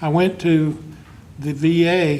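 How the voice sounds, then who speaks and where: Noticeable background noise and audible room echo fill this clip. A man speaks with fairly even intonation. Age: 60s. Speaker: laid-off software engineer and veteran. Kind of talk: personal testimony. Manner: halting.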